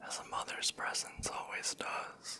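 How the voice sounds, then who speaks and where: A soft-spoken man whispers at a fairly slow pace. Noticeable background noise can be heard. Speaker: storyteller. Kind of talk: soft-spoken storytelling reading. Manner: close, soft ASMR whisper. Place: home room. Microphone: handheld.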